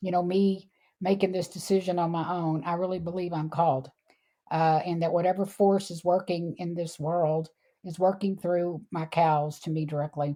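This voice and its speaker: A woman speaks at a moderate pace with a Texan accent, her pitch fairly low and her tone dark and mellow. Her intonation is monotone and flat, and the recording is very clean with a silent background. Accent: Texan American. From Texas, Houston. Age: 60s. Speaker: animal sanctuary founder. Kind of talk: interview.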